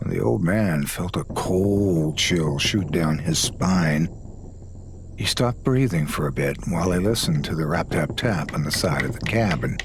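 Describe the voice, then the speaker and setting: With noticeable background noise, a man talks at a moderate pace, his very deep, low pitch carrying lively intonation. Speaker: guest storyteller lending his voice. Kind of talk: scary story narration.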